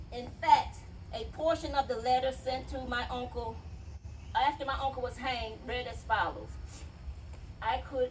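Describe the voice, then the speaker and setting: Audible room echo surrounds a woman speaking at a fairly slow pace. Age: 60s. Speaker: family member speaking at a memorial event. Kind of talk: public speech and reading a letter aloud. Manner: emphatic.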